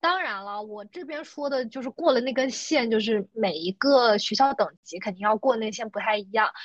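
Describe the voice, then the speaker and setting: An ordinary speaking voice from a woman, fairly high in pitch, at a moderate pace with lively intonation, big swings in loudness and hardly any pauses. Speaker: guest, works in US. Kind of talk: casual chat.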